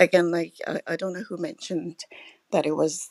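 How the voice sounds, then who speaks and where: A woman's fairly low, fry-edged voice in a dry, close recording with no echo. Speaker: caller. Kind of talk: casual chat.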